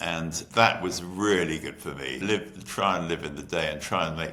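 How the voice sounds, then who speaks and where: Recorded with audible room echo, a man with an English accent speaks at a moderate pace in a very deep, low pitch, with vocal fry, a bright, sharp tone and ordinary pitch variation. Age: 70s. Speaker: entrepreneur. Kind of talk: interview.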